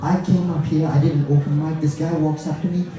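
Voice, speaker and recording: There is audible room echo and music in the background. A man is speaking. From Malaysia. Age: middle-aged. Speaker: comedian. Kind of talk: stand-up. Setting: stage with audience. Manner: animated.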